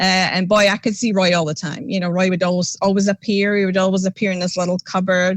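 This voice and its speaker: Talking at a very fast pace, a woman holds a medium pitch with monotone, flat intonation. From Scotland. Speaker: paranormal investigator. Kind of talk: casual interview chat. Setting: podcast livestream.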